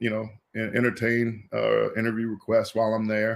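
A man with an American accent talks in an unremarkable speaking voice, his pitch sitting in the medium range. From US Midwest, Indianapolis. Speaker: former college football player. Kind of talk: interview.

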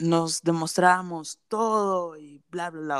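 Her pace is very slow. This woman's pitch is medium, with ordinary variation. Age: 20s. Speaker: podcast co-host. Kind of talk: casual chat.

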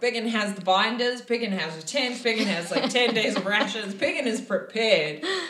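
The pitch varies in an ordinary way as a natural voice reads aloud.

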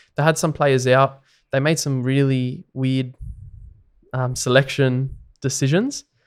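A man with an Australian accent at a medium pitch, fairly slow and monotone with flat intonation and long, frequent pauses, on a very clean recording with a silent background. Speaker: podcast co-host, rugby league fan. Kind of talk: casual chat.

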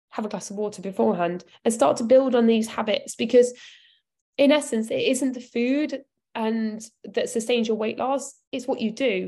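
Moderate-paced speech with a British accent and ordinary pitch variation, on a very clean recording with a silent background. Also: woman, fairly high pitch for a woman. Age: 30s. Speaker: nutrition coach. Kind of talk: live Q&A talk.

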